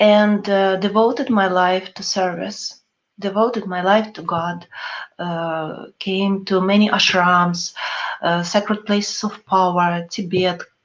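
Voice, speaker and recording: A woman at medium pitch, fairly slow, with fairly even intonation and big swings in loudness. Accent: non-native. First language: not English. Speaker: spiritual teacher. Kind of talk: webinar talk. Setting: online webinar. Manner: halting.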